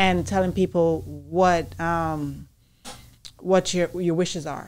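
A woman with a fairly low pitch speaks over light background noise. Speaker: podcast co-host. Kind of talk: casual chat. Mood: earnest, reflective, faith-filled. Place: studio. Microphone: studio mic.

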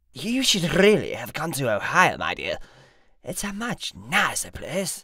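Putting on a raspy character voice, a man speaks at a moderate pace with a high pitch. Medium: audio drama. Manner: grandiose, flowery, flirtatious.

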